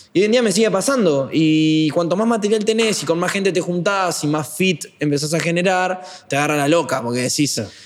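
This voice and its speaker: Over noticeable background noise, a man talks at a fairly quick pace with a high pitch and lively intonation. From Uruguay (Paysandú, then Montevideo from age 10). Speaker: trap musician. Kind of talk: casual interview chat.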